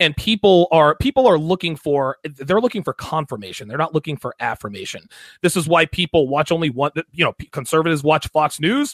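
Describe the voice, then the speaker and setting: This man has an unremarkable speaking voice, fairly high in pitch, with lively intonation at a fairly quick pace, captured in a very clean recording with a silent background and a dry, close sound with no echo. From US military family, moved around. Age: 40s. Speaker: podcast host, guest. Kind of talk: casual chat.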